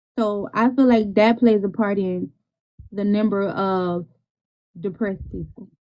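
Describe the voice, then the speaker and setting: A woman speaks at a medium pitch and a fairly slow pace, with a dark, mellow tone and long, frequent pauses. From US South. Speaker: podcast host. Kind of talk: casual chat. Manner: animated.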